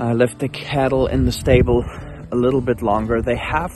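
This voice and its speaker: Over music in the background, a man talks at a moderate pace with ordinary pitch variation and a dry sound with no echo. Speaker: farmer vlogger. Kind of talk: casual vlog chat. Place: open country. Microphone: phone near.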